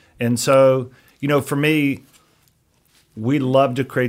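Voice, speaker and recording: The intonation stays monotone and flat. The speaker is a man. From US South, Chattanooga, Tennessee. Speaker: roofing business owner. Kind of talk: interview.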